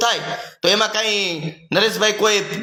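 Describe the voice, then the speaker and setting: In a room with audible echo, a man talks in an animated tone with ordinary pitch variation. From Gujarat, Rajkot district (Saurashtra). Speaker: community activist. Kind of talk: monologue to camera.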